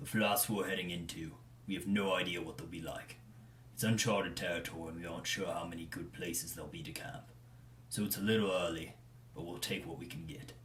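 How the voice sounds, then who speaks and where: With clear background noise behind him, a man puts on a character voice with a very deep, low pitch and rattles along at a very fast pace. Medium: read story. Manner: dragging.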